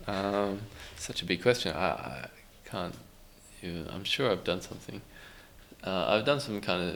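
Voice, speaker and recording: A man's very deep, low voice in an Australian accent, with audible room echo. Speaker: musician. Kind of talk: interview. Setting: podcast recording in a youth center.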